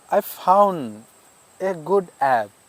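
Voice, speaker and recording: In a non-native accent, a man talks at a high pitch. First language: not English. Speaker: English learner vlogger. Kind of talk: casual talk to camera. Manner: halting.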